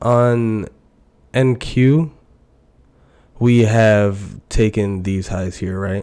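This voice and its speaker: A man speaks very slowly in a dark, mellow tone at a fairly low pitch, leaving long, frequent pauses. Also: fairly even intonation. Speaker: day trader. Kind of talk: live trading commentary. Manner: casual, conversational.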